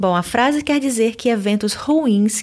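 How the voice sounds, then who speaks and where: Here is a woman with an unremarkable speaking voice and a fairly high pitch. She talks at a moderate pace with lively intonation. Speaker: language teacher podcaster. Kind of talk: language lesson.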